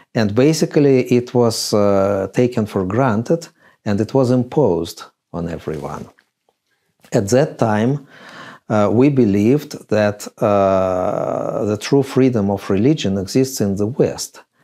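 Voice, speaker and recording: The voice has a dark, mellow tone and moves at a fairly slow pace. The background is quiet. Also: man. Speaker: interviewee. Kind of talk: interview answer. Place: home room.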